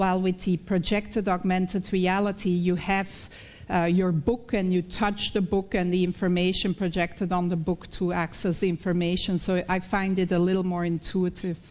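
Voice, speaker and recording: A woman's medium-pitched voice with a Belgian accent, at a moderate pace, with very even loudness, hardly any pauses and a flat, monotone intonation. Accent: Belgian accent, still noticeable. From Belgium (Flemish). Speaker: professor, researcher. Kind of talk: conference Q&A. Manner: halting with frequent fillers.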